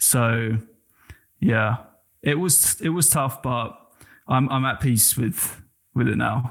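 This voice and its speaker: The speaker has an English accent and a very slow pace with long, frequent pauses. Loudness stays very even, and pitch variation is ordinary. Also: man, medium pitch for a man. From England. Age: 20s. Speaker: former basketball player and social media creator. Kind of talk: casual interview.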